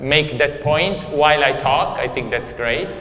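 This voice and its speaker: Audible room echo and noticeable background noise surround a man speaking at fairly high pitch with ordinary pitch variation. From Italy. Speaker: economist, guest lecturer. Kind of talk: lecture. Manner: hesitant, many fillers.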